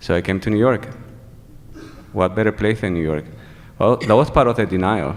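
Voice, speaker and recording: A man with a Venezuelan accent and a fairly low pitch, with ordinary pitch variation and long, frequent pauses. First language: Spanish. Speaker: HIV activist. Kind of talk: testimony. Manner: halting.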